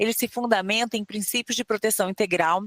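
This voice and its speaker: A woman speaks with a Rio de Janeiro accent and a fairly high pitch. Her pitch variation is ordinary, and the sound is dry and close with no echo. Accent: Rio de Janeiro (fluminense). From Rio de Janeiro state, Brazil. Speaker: podcast host. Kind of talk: scripted introduction; interview.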